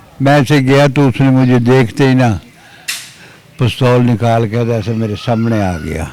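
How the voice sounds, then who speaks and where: A man talks in a medium pitch while noticeable noise carries on in the background. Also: ordinary pitch variation. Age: 60s. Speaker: retired wrestler. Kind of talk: interview storytelling.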